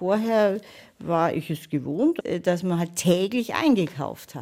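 A woman speaks with a fairly low pitch. Her voice makes very wide pitch swings. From Munich (Freimann). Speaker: local historian. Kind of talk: interview.

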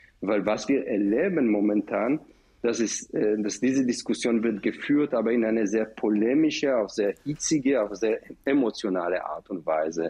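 A man speaks with an Israeli accent in a dark, mellow tone. His medium pitch shows ordinary variation at a moderate pace. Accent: Israeli accent in German, noticeable. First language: Hebrew (speaking German). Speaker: professor and director of an education center. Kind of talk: radio panel discussion. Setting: remote line from another city. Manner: halting, with many fillers.

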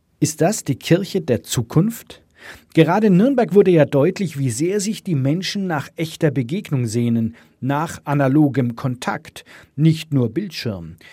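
A man's fairly high, somewhat breathy voice with a dark, mellow tone, lively intonation and a fairly slow pace, in a very clean recording with a silent background. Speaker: radio presenter. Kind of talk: radio feature narration. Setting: studio.

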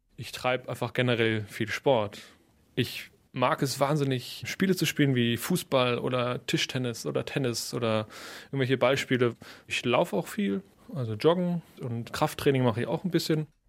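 At a moderate pace and medium pitch, a man talks in an unremarkable speaking voice with ordinary pitch variation on a very clean recording with a silent background. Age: young. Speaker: percussionist. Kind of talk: interview.

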